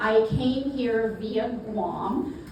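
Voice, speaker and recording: A woman's fairly high voice with a South Carolina accent and ordinary pitch variation, plus audible room echo and noticeable background noise. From US South, South Carolina. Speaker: networking speaker and family court advocate. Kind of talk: talk to a live audience.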